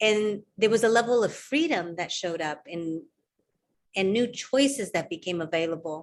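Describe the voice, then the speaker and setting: Speaking with a Spanish accent, a woman keeps a moderate pace and medium pitch with lively intonation. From California, US. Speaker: workshop facilitator. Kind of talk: livestream interview. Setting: live video stream.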